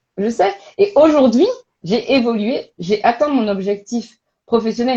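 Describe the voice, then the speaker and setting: A loud woman speaks at a fairly high pitch in a dark, mellow tone with ordinary pitch variation. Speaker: career coach and recruitment expert. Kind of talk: casual interview on a live stream. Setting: online live stream. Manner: animated, hesitant with many fillers.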